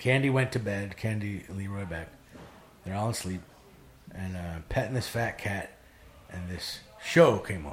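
With an American accent, a man speaks at a moderate pace in a fairly low voice, his pitch varying in an ordinary way and his loudness swinging a lot, with long, frequent pauses, audible room echo and noticeable background noise. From Wisconsin, rural dairy farm. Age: 40s. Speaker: recovering addict. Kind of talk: personal testimony in casual chat.

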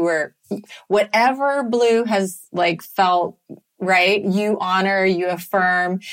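A woman has an ordinary speaking voice, a fairly low pitch and ordinary pitch variation. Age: 50s. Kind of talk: casual chat.

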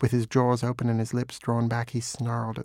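Here someone is reading aloud in a natural voice.

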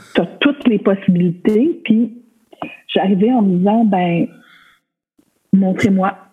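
At a very slow pace with long, frequent pauses, a woman speaks at medium pitch with ordinary variation and very even loudness. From Quebec, Côte-Nord. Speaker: costume designer. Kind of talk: casual interview chat.

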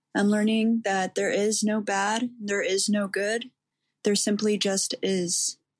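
Somewhat breathy and at a medium pitch, a woman speaks at a very slow pace with monotone, flat intonation and very even loudness. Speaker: listener. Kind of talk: voicemail message, spiritual reflection.

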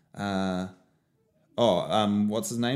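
Recorded very cleanly against a silent background, a man talks with a New Zealand accent. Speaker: sports podcast co-host. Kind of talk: casual chat. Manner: slow; quiet.

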